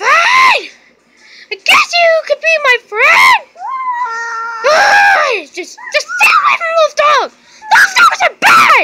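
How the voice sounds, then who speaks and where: Shouting in a put-on character voice, a woman pitches her voice extremely high. She goes at a very slow pace with long, frequent pauses. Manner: annoying, mad, screaming.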